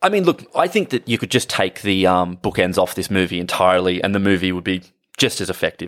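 Recorded very cleanly against a silent background, a man with an Australian accent speaks at a fairly low pitch with ordinary pitch variation. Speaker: film podcast co-host. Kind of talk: casual chat.

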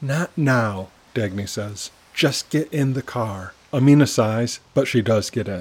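Ordinary rise and fall of pitch in a natural reading voice

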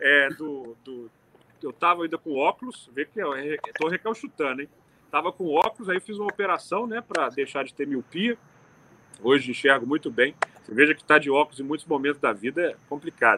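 With a plain, everyday voice, a man talks at a fairly quick pace and fairly high pitch, his intonation lively and his loudness swinging widely. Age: 30s. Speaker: city councillor. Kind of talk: casual interview.

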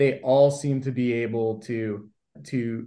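A man's medium-pitched voice with a dark, mellow tone, an American accent and fairly even intonation. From US West Coast (Los Angeles, San Fernando Valley). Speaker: emergency physician. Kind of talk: interview.

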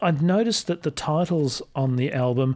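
An unremarkable speaking voice at a fairly slow pace with lively intonation, on a very clean recording against a silent background. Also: man. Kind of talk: radio DJ patter, smooth on-air announcing of guest and station.

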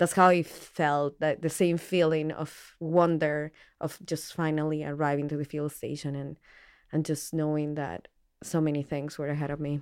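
Monotone, flat delivery at a moderate pace with a Spanish accent, on a very clean recording with a silent background. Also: woman, very deep, low pitch for a woman. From Colombia, Pasto. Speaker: behavioral ecologist. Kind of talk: interview.

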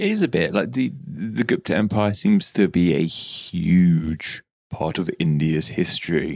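A man with a British accent, very deep and low in pitch, lively in intonation, at a fairly slow pace. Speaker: podcast co-host. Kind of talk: casual chat.

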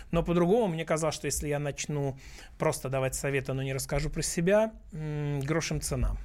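Here is a man with an ordinary speaking voice and a fairly high pitch. His pace is fairly quick, and his pitch variation is ordinary. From Russia. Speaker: businessman and blogger, book author. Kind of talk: radio interview. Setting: radio studio.

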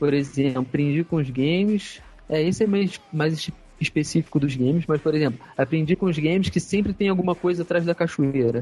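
At a moderate pace, a man with a fairly high-pitched, dark and mellow voice speaks at very even loudness with ordinary pitch variation. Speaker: gaming Facebook page admin. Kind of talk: casual chat. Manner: halting.

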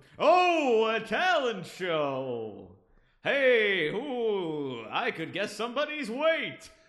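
In a put-on character voice, a man speaks very slowly and high for a man. His pitch swings very widely. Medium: actual play. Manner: casual, rambling.

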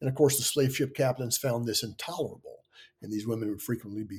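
Somewhat breathy, a man's voice holds a medium pitch with fairly even intonation. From US South (Kentucky, Tennessee, Virginia). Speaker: history professor. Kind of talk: interview.

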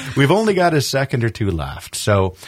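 A man with an American accent, somewhat breathy, fairly slow, with very wide pitch swings. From western New York (Buffalo). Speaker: talk show host. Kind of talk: casual chat. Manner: animated.

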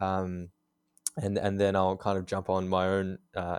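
This man speaks at a very deep, low pitch in a very clean recording with a silent background. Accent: Australian. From Australia. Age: 20s. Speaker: graphic designer. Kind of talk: casual interview.

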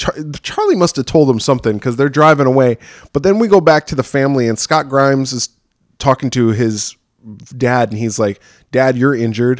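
The speaker is a man with a normal speaking voice at medium pitch. He talks at a fairly quick pace with ordinary pitch variation. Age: 40s. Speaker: horror podcast host. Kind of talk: casual chat.

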